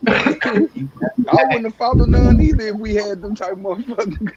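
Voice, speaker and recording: A man with a Southern US accent speaks in a high voice. Noticeable background noise runs underneath. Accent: southern drawl. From Chicago. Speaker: former gang member. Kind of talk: casual chat.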